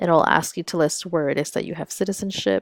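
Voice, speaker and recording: A woman speaks in a very deep, low pitch. The sound is dry and close with no echo, on a very clean recording with a silent background. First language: Spanish. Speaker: school counselor. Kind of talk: tutorial. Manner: casual, frequent fillers.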